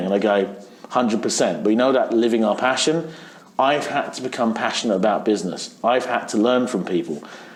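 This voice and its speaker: A man speaks with an English accent at a medium pitch and a fairly quick pace. His pitch varies in an ordinary way, and noticeable background noise can be heard. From England. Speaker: dance event DJ. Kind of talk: interview answer.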